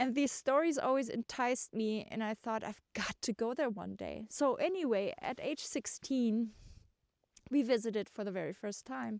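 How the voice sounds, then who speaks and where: With a German accent, a woman speaks at fairly high pitch with ordinary pitch variation, in a dry, close sound with no echo. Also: moderate pace. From Germany. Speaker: vlogger. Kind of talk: personal storytelling. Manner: hesitant, many fillers.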